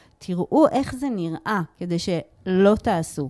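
Dark and mellow in tone, a woman speaks at medium pitch with lively intonation. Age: 50s. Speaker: emotional therapist and communication lecturer. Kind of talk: interview. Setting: studio.

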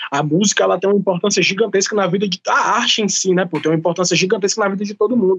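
Talking at a very fast pace, a man with a high pitch keeps his intonation fairly even. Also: hardly any pauses. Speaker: rapper and master of ceremonies. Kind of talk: casual chat.

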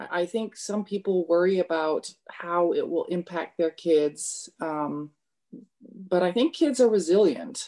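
A woman's dark, mellow tone at a fairly slow pace. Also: medium pitch for a woman, ordinary pitch variation. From Kenya. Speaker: podcast guest, mother of a third culture kid. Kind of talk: casual interview.

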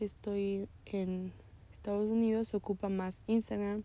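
A woman speaks at a fairly slow pace, medium in pitch, with a dark, mellow tone. Her intonation stays monotone and flat. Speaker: podcaster. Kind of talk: casual monologue. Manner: halting, occasional stutter; frequent laughter.

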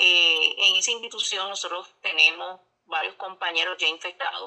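This woman talks at a moderate pace. Her intonation stays fairly even. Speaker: corrections officers' union leader. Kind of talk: news interview.

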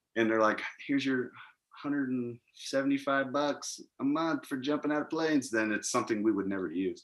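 A man speaks at a moderate pace in a normal speaking voice. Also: medium pitch for a man, ordinary pitch variation. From Missouri. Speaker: military veteran. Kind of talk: casual interview.

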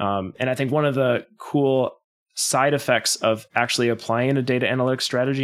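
An unremarkable speaking voice from a man at medium pitch, fairly quick in pace and fairly even in intonation, with an American accent. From Wisconsin, US Midwest. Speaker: data analytics company founder. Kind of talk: interview.

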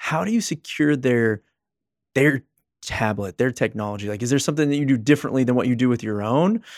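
Recorded very cleanly against a silent background with a dry, close sound with no echo, a man with an ordinary speaking voice and medium pitch talks at a fairly quick pace with ordinary pitch variation. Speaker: podcast host. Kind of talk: casual interview.

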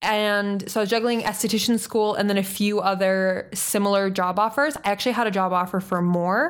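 A woman with a plain, everyday voice at medium pitch, fairly quick pace, ordinary pitch variation and very even loudness, in a very clean recording with a silent background. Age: 20s. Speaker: podcast co-host. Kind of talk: casual chat.

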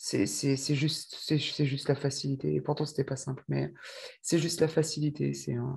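A woman talks with a dark, mellow tone and vocal fry. The background is quiet. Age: 40s. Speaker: testimony guest, mother. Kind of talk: testimony. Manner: halting.

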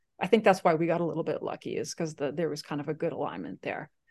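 A woman's very deep, low voice against a quiet background. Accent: Slovak. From Czechoslovakia. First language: Slovak. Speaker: search and rescue volunteer, mountaineer. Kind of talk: casual interview.

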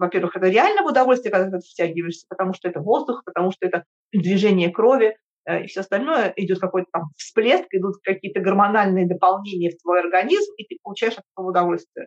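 A woman at a very fast pace, in a dry, close sound with no echo. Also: medium pitch for a woman, ordinary pitch variation. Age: 50s. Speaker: podcast guest. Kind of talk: interview.

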